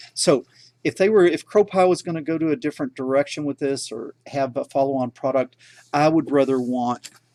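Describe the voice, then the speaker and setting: A man speaks fairly quickly with a strong Texan accent and a fairly high pitch. His tone is dark and mellow, with ordinary pitch variation, in a dry, close recording with no echo. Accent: Texan, self-described as strong. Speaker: tech educator and teacher. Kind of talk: livestream Q&A and product review. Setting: live stream. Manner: casual, filler-heavy (uh, okay).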